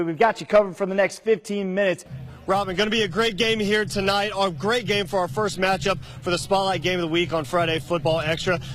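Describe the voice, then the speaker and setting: Over music in the background, a high-pitched man with an American accent talks at a very fast pace with ordinary pitch variation. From Oklahoma. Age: 20s. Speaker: sports reporter. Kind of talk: sports anchor read.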